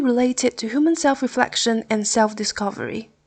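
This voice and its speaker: A woman with a Chinese accent speaks at a high pitch and moderate pace, with ordinary pitch variation. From Taiwan. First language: Mandarin Chinese. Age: 20s. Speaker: podcast host. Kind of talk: podcast monologue. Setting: hotel room.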